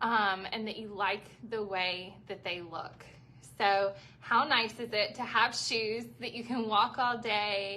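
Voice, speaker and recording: A woman's fairly high voice with a Southern US accent, big swings in loudness and fairly even intonation. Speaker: shoe store owner selling live. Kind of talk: live sales stream. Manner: chatty, conversational.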